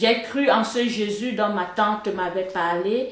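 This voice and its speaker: A woman's medium-pitched voice with fairly even intonation, plus audible room echo and noticeable background noise. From Cameroon, Yaoundé. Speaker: software engineer, church member. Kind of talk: testimony. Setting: studio. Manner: hesitant, with filler sounds.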